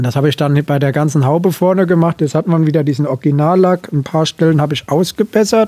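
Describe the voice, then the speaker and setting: The tone is dark and mellow, with ordinary pitch variation and a very fast pace. The sound is dry and close, with no echo. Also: man, fairly high pitch for a man. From Hesse, northern former Dill district. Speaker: tractor owner. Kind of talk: casual interview. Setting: in an old barn.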